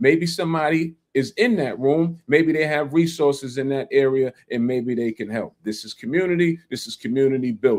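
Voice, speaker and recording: In a New York accent, a man with a fairly high pitch talks at a moderate pace in an animated tone, with ordinary pitch variation, big swings in loudness and hardly any pauses. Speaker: land investing livestreamer. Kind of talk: casual livestream talk. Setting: livestream.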